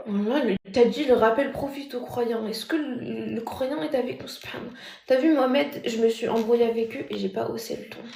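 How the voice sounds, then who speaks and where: Soft-spoken and with hardly any pauses, the voice shows ordinary pitch variation and big swings in loudness over noticeable background noise. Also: woman, fairly high pitch for a woman. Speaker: TikTok live streamer. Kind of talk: casual live stream chat reading comments. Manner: soft-spoken, deliberately speaking quietly; normally loud.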